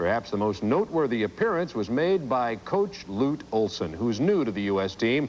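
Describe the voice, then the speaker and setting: A man speaks at a moderate pace with a Midwestern accent. His pitch swings very widely. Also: medium pitch for a man, hardly any pauses. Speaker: sports broadcaster. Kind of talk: sports broadcast presenting.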